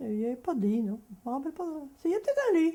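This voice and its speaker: Her voice is somewhat breathy, with a dark, mellow tone. The woman's intonation is lively. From France, Deux-Sèvres (Poitou). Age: 80s+. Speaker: elderly farm family witness. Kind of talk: oral history testimony. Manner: halting.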